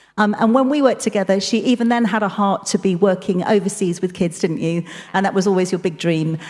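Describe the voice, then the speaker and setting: A woman at a fairly quick pace. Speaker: church leader. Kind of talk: interview. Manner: fast.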